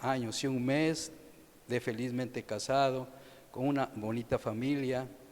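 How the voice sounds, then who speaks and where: A man's medium-pitched voice comes through flat and monotone, unfolding at a fairly slow pace. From Mexico, Veracruz. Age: 70s. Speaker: retired naval officer. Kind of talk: testimony.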